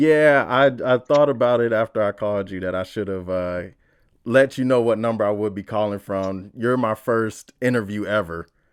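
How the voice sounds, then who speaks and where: Against a quiet background, a man speaks at a moderate pace in a fairly low voice with ordinary pitch variation. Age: 30s. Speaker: podcast host. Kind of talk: podcast interview; scripted podcast intro.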